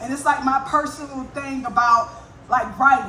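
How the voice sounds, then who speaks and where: Energetic in tone, a woman with a Southern US accent talks at a fairly quick pace over noticeable background noise and audible room echo. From US South (north Florida). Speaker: spoken word poet. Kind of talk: stage banter; poetry performance. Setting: stage with audience.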